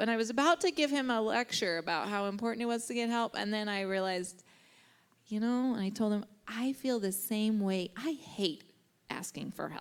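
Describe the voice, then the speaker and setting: An ordinary speaking voice from a woman, fairly high in pitch with ordinary variation, at a moderate pace. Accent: American. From Kansas. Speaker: therapist. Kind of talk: interview. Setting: church.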